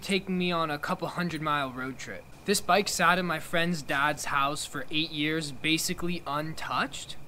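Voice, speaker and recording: A man with a bright, sharp tone speaks at a moderate pace over light background noise. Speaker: motorcycle hobbyist vlogger. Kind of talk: casual vlog chat. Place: garage.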